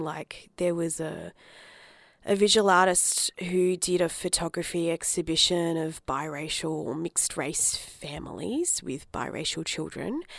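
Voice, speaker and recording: A woman's fairly low voice with an Australian accent, at a fairly slow pace, on a very clean recording with a silent background. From Australia, Adelaide. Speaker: writer and arts producer. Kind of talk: interview. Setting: studio.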